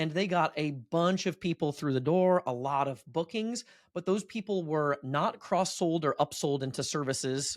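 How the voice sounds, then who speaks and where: Recorded dry and close with no echo, a man with a fairly high pitch talks at a fairly quick pace with lively intonation. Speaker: marketing agency owner and podcast host. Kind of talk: educational business presentation. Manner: fast.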